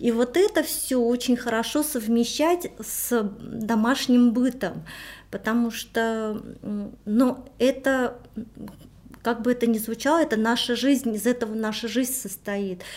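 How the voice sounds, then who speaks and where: A woman speaks at a very slow pace with long, frequent pauses. Her pitch is high, with ordinary variation. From Armenia. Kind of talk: interview.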